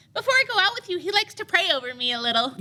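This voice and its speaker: In a put-on character voice, a woman squeaks at an extremely high pitch with very wide pitch swings and a very fast pace. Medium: audio drama. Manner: placid.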